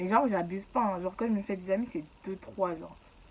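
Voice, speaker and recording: A woman speaks in an animated tone. Noticeable background noise sits behind her. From Ivory Coast. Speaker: YouTuber. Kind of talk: storytelling. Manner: casual, animated.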